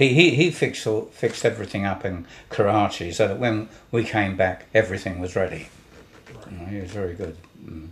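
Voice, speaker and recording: A man speaks fairly quickly in a fairly low, somewhat breathy voice. His pitch varies in an ordinary way. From London, England. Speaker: war veteran. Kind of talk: interview. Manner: halting.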